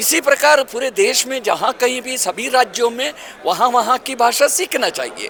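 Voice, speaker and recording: With hardly any pauses, a man in a Kannada accent speaks with lively intonation over noticeable background noise. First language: Kannada (speaking Hindi). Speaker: language activist. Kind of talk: interview. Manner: hesitant, with filler sounds.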